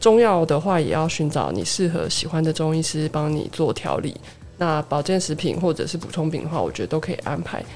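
Speaking at a moderate pace, a woman uses an unremarkable speaking voice that is fairly low in pitch, with ordinary pitch variation. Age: 30s. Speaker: pharmacist. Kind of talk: casual chat, personal experience.

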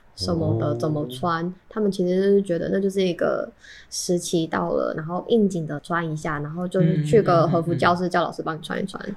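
Fairly quick speech with fairly even intonation and noticeable background noise. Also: woman, fairly low pitch for a woman. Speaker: Taiwanese person who has lived in Japan. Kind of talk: casual chat.

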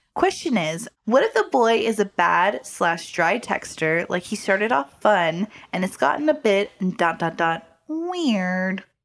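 This woman speaks fairly slowly, her voice sitting at a medium pitch. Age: 20s. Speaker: podcast co-host. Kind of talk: casual chat. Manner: animated.

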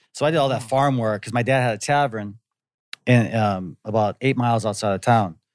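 A man with an ordinary speaking voice, medium pitch, ordinary pitch variation and a fairly quick pace. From US Midwest (Wisconsin), partly Hawaii. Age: 40s. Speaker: actor. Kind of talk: casual chat.

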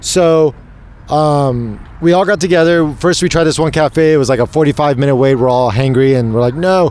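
With an American accent, the speaker uses a normal speaking voice at a moderate pace, with ordinary pitch variation and very even loudness. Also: man, fairly high pitch for a man. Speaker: podcast host. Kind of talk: casual chat. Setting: live at expo event.

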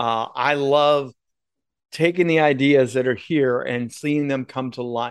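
A plain, everyday voice talks fairly slowly, its intonation fairly even. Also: man, medium pitch for a man. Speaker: broadcast and speaking coach. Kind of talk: casual interview chat.

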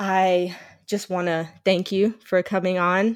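Over a very clean recording with a silent background, a woman speaks at a very slow pace and a medium pitch in a monotone, flat intonation. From Indian heritage. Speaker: podcast host. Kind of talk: casual interview chat.

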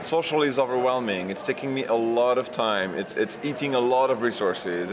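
A man with a French accent talks at a fairly quick pace with hardly any pauses. His medium pitch sits over noticeable background noise. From France. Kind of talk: interview. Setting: conference venue.

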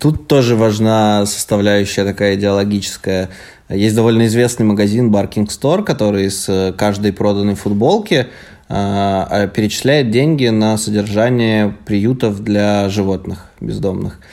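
Fairly low in pitch, a man talks fairly slowly in a dark, mellow tone. His intonation is fairly even and his loudness very even. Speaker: podcast co-host. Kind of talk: casual chat. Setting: recorded in an apartment.

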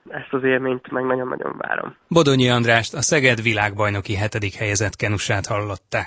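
A man speaks in an unremarkable speaking voice at medium pitch. His pace is fairly quick and his intonation fairly even. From Hungary, Miskolc. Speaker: sprint canoeist. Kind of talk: radio interview.

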